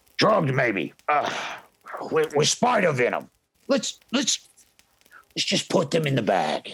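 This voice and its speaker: A man uses a put-on character voice, raspy and fairly high in pitch, with very wide pitch swings. He talks at a fairly slow pace with long, frequent pauses, his loudness very even. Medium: actual play. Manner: boisterous.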